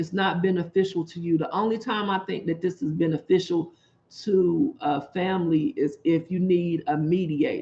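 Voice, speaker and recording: A woman talks in a somewhat breathy voice with a fairly low pitch. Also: ordinary pitch variation, moderate pace. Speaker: YouTuber and commentator. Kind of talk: casual vlog monologue. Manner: animated.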